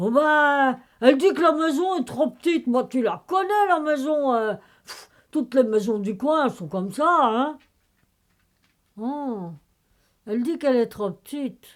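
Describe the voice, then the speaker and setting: A put-on character voice moves at a moderate pace with long, frequent pauses. Its pitch swings very widely. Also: woman, high pitch for a woman. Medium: read story. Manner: hesitant, sighing, rustic.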